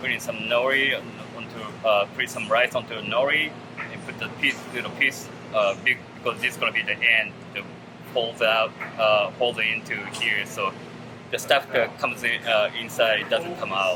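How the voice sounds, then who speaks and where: A man with a Japanese accent at a moderate pace, music playing in the background. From Japan, Tokyo area. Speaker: chef and restaurant owner. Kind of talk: cooking demonstration. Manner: halting, many fillers.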